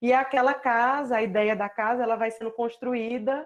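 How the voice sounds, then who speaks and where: With a Paraíba accent, a woman speaks at a fairly high pitch and fairly even intonation over a quiet background. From Paraíba, northeastern Brazil. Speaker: visual artist and doctoral researcher. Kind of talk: online artist talk presenting own work. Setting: video call from home.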